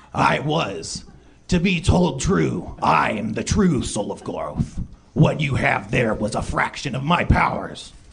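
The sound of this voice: Putting on a character voice, a man speaks guttural and shaky at a medium pitch and a fairly slow pace.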